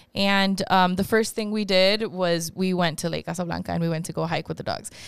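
A woman talks at a fairly quick pace in a plain, everyday voice, medium in pitch with ordinary pitch variation. The recording is very clean, with a silent background. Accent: American. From Chicago and Monterrey, Mexico. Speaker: podcast host. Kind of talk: casual chat.

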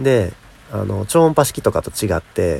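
Vocal fry marks this man's dark, mellow voice, which has very wide pitch swings at a moderate pace. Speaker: podcaster and YouTuber. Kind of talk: casual solo talk. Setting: recording outdoors in rain.

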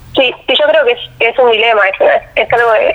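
Against noticeable background noise, a woman talks in a high-pitched voice. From Argentina, Quilmes (Buenos Aires). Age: 20s. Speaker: engineering student and athlete. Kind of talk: interview.

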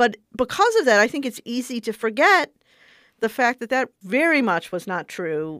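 With an ordinary speaking voice and fairly high pitch, a woman speaks at a fairly quick pace in a very clean recording with a silent background and a dry, close sound with no echo. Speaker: civil rights lawyer. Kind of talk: interview.

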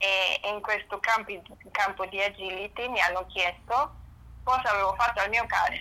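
In a German accent, a woman with a medium-pitched, bright, sharp tone speaks at a moderate pace with fairly even intonation. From northern Germany. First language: German (speaking Italian). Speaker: pet nutrition consultant. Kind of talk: interview.

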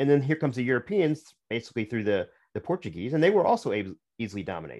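A man's fairly high voice with vocal fry, very wide pitch swings and a very fast pace, on a very clean recording with a silent background. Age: 50s. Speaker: author. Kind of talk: interview.

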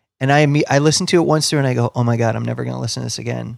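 A man with an American accent talks at a very fast pace and medium pitch. The recording is very clean, with a silent background. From US Midwest, Ohio near Cleveland. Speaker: musician and comedian, radio host. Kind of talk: casual chat.

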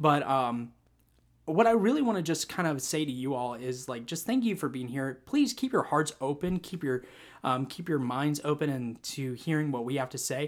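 A man with a plain, everyday voice talks at a moderate pace and a fairly high pitch. His intonation is lively, and the recording is very clean with a silent background. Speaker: podcast host. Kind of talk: casual chat, faith discussion.

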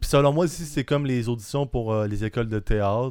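Dark and mellow in tone, a man's voice sits at a medium pitch with ordinary pitch variation. The recording is very clean, with a silent background. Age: 20s. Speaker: aspiring stand-up comedian. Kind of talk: casual chat.

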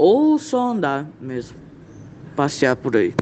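Behind a man speaking at a high pitch there is noticeable background noise. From Campo Grande, Mato Grosso do Sul, Brazil. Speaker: beginner comedian. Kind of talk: voice message.

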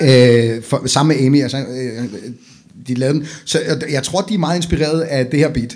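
Amid noticeable background noise, a man with a fairly high pitch speaks at a moderate pace with ordinary pitch variation. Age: 40s. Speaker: podcast host. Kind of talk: casual chat.

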